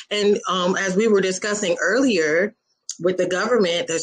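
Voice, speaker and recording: A woman talks at a fairly quick pace. Her pitch varies in an ordinary way, and the background is quiet. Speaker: show guest or host. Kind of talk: animated conversational commentary. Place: home room. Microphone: video call.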